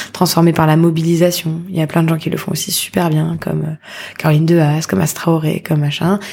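Over noticeable background noise, a woman with a fairly low pitch talks at a fairly quick pace with fairly even intonation. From Paris. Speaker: social entrepreneur. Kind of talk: interview conversation.

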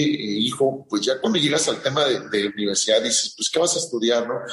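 A man talks at a medium pitch while noticeable background noise runs behind him. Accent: central Mexican. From central Mexico (Morelos/Michoacán). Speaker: agronomist and agricultural business owner. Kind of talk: interview, personal story. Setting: podcast interview. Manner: halting, many fillers and repetitions.

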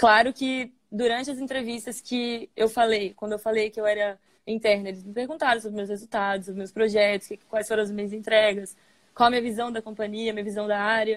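A woman with a fairly high pitch speaks at a fairly quick pace in a monotone, flat delivery, her loudness swinging widely. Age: 20s. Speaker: engineering trainee at a brewing company. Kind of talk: interview on a live stream. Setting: online live stream.

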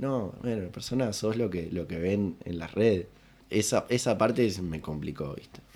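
A man talks at a moderate pace and fairly low pitch, his dark, mellow tone showing ordinary pitch variation. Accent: Uruguayan. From Uruguay, Rocha. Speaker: comedian and impressionist. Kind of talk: casual chat. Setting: studio, in person.

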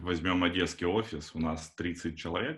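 Somewhat breathy, this man's voice sits very deep and low. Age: 30s. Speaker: Android developer. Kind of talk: casual chat. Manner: hesitant with fillers.

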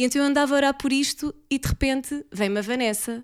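On a very clean recording with a silent background, a woman speaks. Her pitch is high and her intonation fairly even. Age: 30s. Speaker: church member. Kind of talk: casual chat.

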